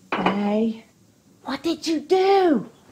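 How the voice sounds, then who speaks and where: High-pitched for a woman, her put-on character voice carries the whole clip. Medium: short film. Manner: hesitant, agreeable.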